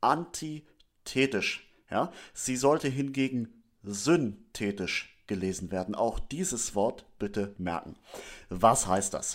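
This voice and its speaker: Speaking at a very slow pace, a man with a medium pitch uses lively intonation on a very clean recording with a silent background. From northern Germany, Schleswig-Holstein. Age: 30s. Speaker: theology student and lay church leader. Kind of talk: religious teaching talk.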